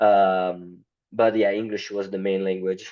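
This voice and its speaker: With an Italian accent, a man speaks at a fairly low pitch. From Italy. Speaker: marketing company founder. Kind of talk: podcast interview. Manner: halting, many fillers.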